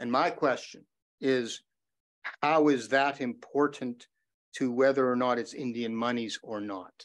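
Against a quiet background, a man speaks at a medium pitch and a fairly slow pace with fairly even intonation. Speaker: lawyer cross-examining a witness; witness. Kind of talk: courtroom cross-examination. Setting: courtroom. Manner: loud. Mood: measured, formal questioning. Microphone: video call.

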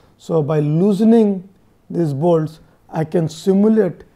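A dark, mellow tone with ordinary pitch variation over a quiet background. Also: man. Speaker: engineering lecturer. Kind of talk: lecture.

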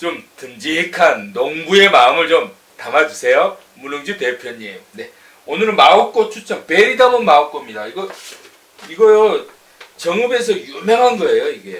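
Speaking at a fairly slow pace, a man shows big swings in loudness. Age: 40s. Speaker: online news channel host. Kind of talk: product review. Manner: animated. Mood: playful, joking. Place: office. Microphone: camera far.

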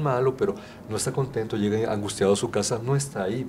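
A man at a fairly quick pace, with ordinary pitch variation and light background noise. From Mexico, Guanajuato. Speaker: artisan fair exhibitor, vocational advisor. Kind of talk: interview. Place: studio. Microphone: handheld.

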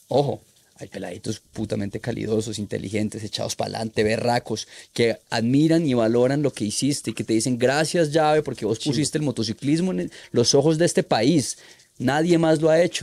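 A man's lively intonation carries his fairly quick delivery. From Colombia, Manizales; Colombia. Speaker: freestyle motocross rider; podcast guest. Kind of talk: casual interview chat; interview answer. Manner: halting, repetitive. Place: studio. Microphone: studio mic.

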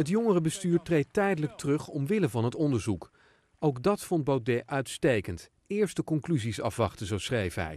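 The pace of speech is moderate. The pitch swings very widely. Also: man, fairly high pitch for a man. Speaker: news reporter. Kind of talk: scripted narration.

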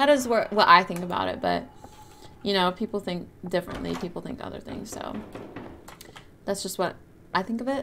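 Over noticeable background noise, a woman with an American accent talks at a fairly quick pace, broken by long, frequent pauses. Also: big swings in loudness. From California. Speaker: gaming streamer. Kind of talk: live game stream chat. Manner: animated. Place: home room.

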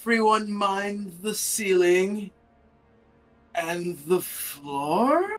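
In a put-on character voice with a fairly high pitch, the speaker goes at a very slow pace. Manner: loud, strained calm.

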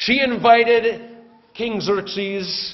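A man's animated, warm voice, high in pitch. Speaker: pastor. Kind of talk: sermon. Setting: church. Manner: animated, conversational, humorous; casual, warm storytelling with jokes. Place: church. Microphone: podium.

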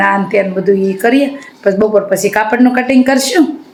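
A woman with a medium-pitched voice talks as noticeable background noise carries on around her. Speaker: vlogger and home seamstress. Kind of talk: casual vlog narration.

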